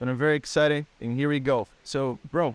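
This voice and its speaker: With a Portuguese accent, the speaker goes at a moderate pace in a dry, close sound with no echo, on a very clean recording with a silent background. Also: man. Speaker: podcast host and English teacher. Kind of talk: casual interview.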